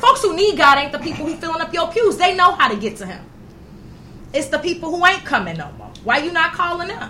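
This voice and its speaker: A woman speaks in a raised, projected voice with an animated tone. Noticeable background noise is present. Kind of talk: casual chat. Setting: studio.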